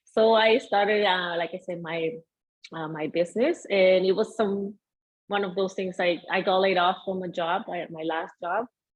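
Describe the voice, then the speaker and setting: A woman speaks with a Venezuelan accent at a medium pitch. Her pace is moderate and her intonation fairly even. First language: Spanish. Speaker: mindset coach. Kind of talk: interview.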